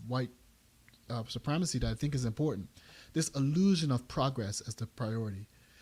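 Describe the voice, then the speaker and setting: A man with a Bermudian accent speaks at a fairly quick pace, medium in pitch with ordinary pitch variation. His voice is somewhat breathy, and the recording is very clean with a silent background. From Bermuda. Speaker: math education podcast host. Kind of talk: commentary talk on a podcast. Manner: halting with frequent restarts.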